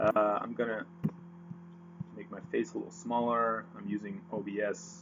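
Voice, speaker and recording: A man speaks at a moderate pace with a Dutch accent, his pitch medium but swinging very widely. He leaves long, frequent pauses. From Netherlands. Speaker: forex trader. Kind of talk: tutorial. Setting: screen recording with webcam. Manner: hesitant, many fillers.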